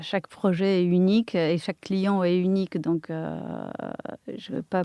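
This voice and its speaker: Very slow speech in a dry, close sound without echo. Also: woman. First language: Polish (speaking French). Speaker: architect and interior designer. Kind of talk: interview. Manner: halting.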